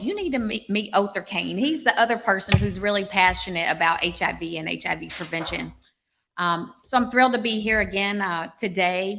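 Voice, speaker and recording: Over music in the background, a woman with a Southern US accent talks at a moderate pace with ordinary pitch variation. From US South, Arkansas. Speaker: public health professor. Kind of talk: public speech.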